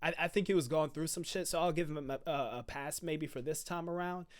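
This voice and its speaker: In a very clean recording with a silent background, a man speaks loudly. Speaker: music reaction youtuber. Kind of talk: casual reaction commentary. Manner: loud into the mic; halting, repeats words.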